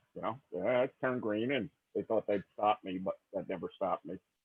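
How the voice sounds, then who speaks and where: A man talks at a moderate pace with ordinary pitch variation. It is a normal speaking voice. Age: 60s. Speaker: cigar hobbyist. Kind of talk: casual chat.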